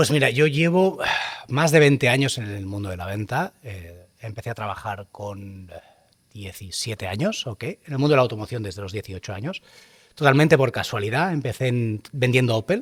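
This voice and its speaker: In a very clean recording with a silent background, a somewhat breathy man at medium pitch speaks at a moderate pace with lively intonation and big swings in loudness. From Catalonia, Spain (Terrassa). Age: 40s. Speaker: luxury car dealership manager. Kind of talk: podcast interview. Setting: on location at a car showroom. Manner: hesitant fillers.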